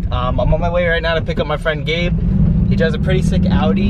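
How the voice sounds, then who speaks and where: A man talks at a very fast pace. There is loud background noise, and the sound is dry with no echo. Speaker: vlogger driving. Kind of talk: casual vlog chat. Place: car. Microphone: camera far.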